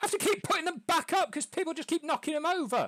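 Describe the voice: A put-on character voice pitched extremely high. It rattles along at a very fast pace.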